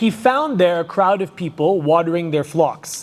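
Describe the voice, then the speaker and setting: The voice is loud with ordinary pitch variation, and background noise is noticeable. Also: man. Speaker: Islamic lecturer. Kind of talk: lecture. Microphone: too quiet at first, then adjusted.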